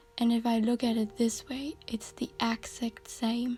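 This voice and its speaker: Against music in the background, a woman with a fairly high pitch talks at a fairly slow pace. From Germany. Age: 20s. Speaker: student. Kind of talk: personal reflective essay narration.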